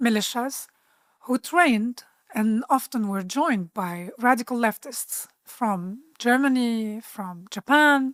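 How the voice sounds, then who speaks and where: A woman with an Arabic accent speaks at a very slow pace in a fairly high pitch with ordinary pitch variation, her dry, close sound free of echo in a very clean recording with a silent background. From Lebanon, Bekaa Valley. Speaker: political activist. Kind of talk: interview. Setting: studio.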